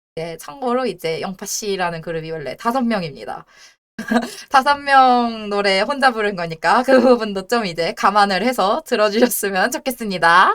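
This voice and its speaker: A woman with a fairly high voice talks at a moderate pace, with lively intonation and big swings in loudness. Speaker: debuting virtual streamer. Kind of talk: casual live stream chat. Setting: live stream. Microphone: headset mic, breath noise crackles.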